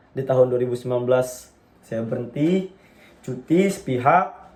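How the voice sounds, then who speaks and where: Ordinary pitch variation marks this man's medium-pitched voice as he speaks at a fairly slow pace. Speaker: university student. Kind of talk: class public speaking assignment, personal story. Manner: casual, some hesitations.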